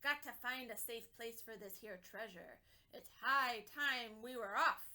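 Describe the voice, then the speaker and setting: A woman's put-on character voice, bellowing at a fairly slow pace and a fairly high pitch. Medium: read story. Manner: bellowing, blustery.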